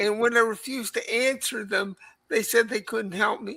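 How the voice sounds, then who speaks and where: A woman's fairly high voice, bright and sharp in tone, with ordinary pitch variation at a moderate pace. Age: 60s. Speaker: live stream chat participant. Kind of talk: casual chat.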